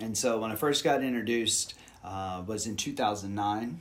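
Audible room echo surrounds a man with an American accent and a fairly low pitch. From Houston, Texas. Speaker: yoga teacher. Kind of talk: casual interview.

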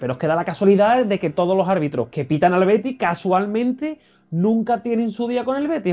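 A man speaks with a high pitch. His pace is fairly quick and his intonation lively. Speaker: football pundit. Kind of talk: casual chat.

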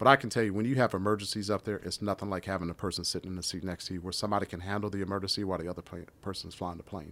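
In a very clean recording with a silent background, a man with an American accent speaks at a very fast pace. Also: fairly low pitch for a man, hardly any pauses. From US, Washington DC. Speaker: airline pilot and MMA referee, former fighter pilot. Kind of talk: casual chat. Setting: studio.

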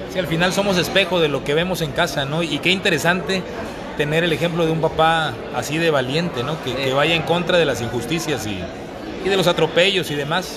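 Through noticeable background noise and audible room echo comes a man with a fairly high pitch, speaking fairly quickly with ordinary pitch variation. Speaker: podcast host. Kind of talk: interview.

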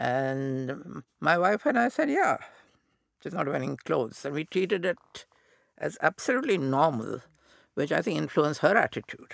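A man's fairly high voice at a moderate pace, with very wide pitch swings and a dry, close sound with no echo. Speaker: author and former magazine editor. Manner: halting, hesitant.

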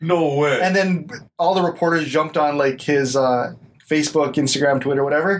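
A man with a plain, everyday voice, fairly high in pitch, at a fairly quick pace with fairly even intonation and very even loudness. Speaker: podcast co-host. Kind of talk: casual banter. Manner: joking, laid-back.

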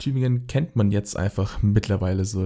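The man's dark, mellow tone is somewhat breathy, moving at a moderate pace with ordinary pitch variation on a very clean recording with a silent background. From Swabia, Baden-Württemberg. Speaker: podcast host. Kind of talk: casual chat.

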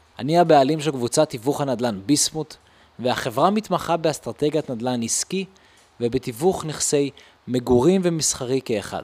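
Recorded in a dry, close sound with no echo, a man with a normal speaking voice talks at a moderate pace, his fairly high pitch showing ordinary pitch variation. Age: 20s. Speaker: podcast host, real estate entrepreneur. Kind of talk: podcast trailer monologue.

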